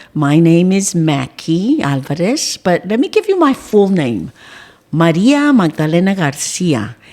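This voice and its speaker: A woman with an American accent speaks at a fairly slow pace in a fairly low pitch, her voice making very wide pitch swings. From South Texas (Beeville, Live Oak County). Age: 60s. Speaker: school board member and community figure. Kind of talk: casual interview conversation.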